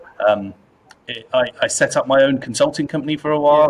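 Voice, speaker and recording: Very fast speech in a British accent. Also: man. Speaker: data executive. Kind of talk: interview. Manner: repetitive, halting.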